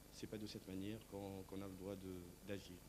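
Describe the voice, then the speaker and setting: At a fairly slow pace, a man talks in a dark, mellow tone with a fairly low pitch. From Tunisia. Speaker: stage actor. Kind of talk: interview. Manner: hesitant, many fillers.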